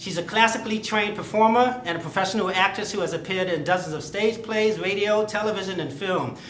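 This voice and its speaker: With audible room echo and noticeable background noise, a man talks very fast in a high pitch. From Chicago. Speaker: comedy show host. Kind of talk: stand-up.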